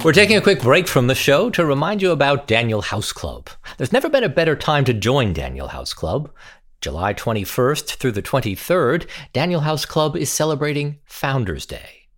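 In a very clean recording with a silent background, a man talks at a moderate pace in a fairly high pitch with vocal fry. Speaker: podcast host. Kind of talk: interview.

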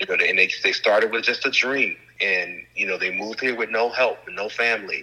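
Noticeable noise sits behind a man who talks fairly quickly. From Chicago. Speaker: film director and activist. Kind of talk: interview.

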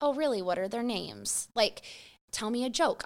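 A woman with a plain, everyday voice talks at a fairly quick pace with lively intonation. The recording is very clean, with a silent background. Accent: American. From Idaho (Boise area), US. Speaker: small business founder, mother. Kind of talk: casual chat.

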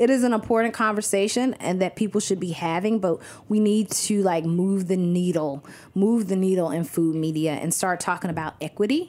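Speaking at a fairly quick pace, a woman has a medium pitch, a dark, mellow tone and ordinary pitch variation. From US South, Athens, Georgia. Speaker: cookbook author and food writer. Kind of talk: casual interview. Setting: studio in a restaurant.

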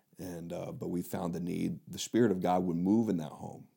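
A dark, mellow tone in an American accent, with fairly even intonation and a fairly quick pace. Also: man. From Indiana. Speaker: missionary pastor. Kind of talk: interview.

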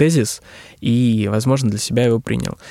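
A man with a plain, everyday voice talks at a moderate pace, his medium pitch carrying fairly even intonation. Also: dry, close sound with no echo. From Russian regions. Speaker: business consultant on digital transformation. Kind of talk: interview. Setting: studio.

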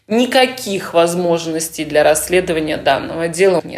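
A woman's calm tone at a fairly slow pace, with noticeable background noise. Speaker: lawyer. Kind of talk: interview answers.

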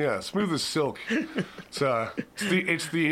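A man's normal speaking voice, fairly slow, with ordinary pitch variation. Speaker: podcast host. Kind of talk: casual banter, music review podcast.

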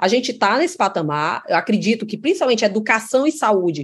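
A woman speaks very fast in a fairly high pitch. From Ceará, Brazil (Crato). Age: 40s. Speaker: state finance secretary. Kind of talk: interview.

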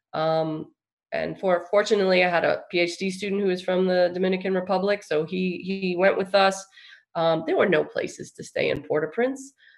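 Speaking with an American accent, a woman with a plain, everyday voice keeps a medium pitch, a moderate pace and fairly even intonation. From New York, Long Island. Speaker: engineering professor. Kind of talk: interview.

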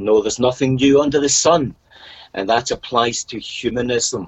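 A man talks with a Scottish accent. His pitch sits in the medium range. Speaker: podcast guest. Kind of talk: casual interview chat.

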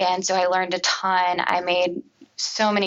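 With a fairly low pitch, the woman talks at a fairly slow pace. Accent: Midwestern American. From Cincinnati, Ohio, US. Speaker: commercial real estate coordinator. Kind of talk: interview. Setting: podcast interview.

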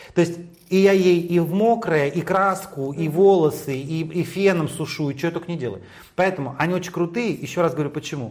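A man's high voice, fairly quick, its pitch varying in an ordinary way. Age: 50s. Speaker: hairdresser and stylist. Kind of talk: interview. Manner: animated.

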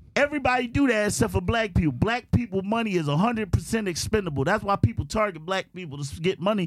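Music in the background behind a man's high-pitched voice, very fast in pace, with lively intonation. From South Philadelphia. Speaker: podcast guest, former street hustler. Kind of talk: casual chat.

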